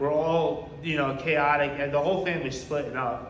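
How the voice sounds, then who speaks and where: The speaker has an American accent and a moderate pace. Noticeable background noise and audible room echo fill the recording. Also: man. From New York (Poughkeepsie). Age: 30s. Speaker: recovery speaker. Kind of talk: testimony. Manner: casual, halting with repetitions.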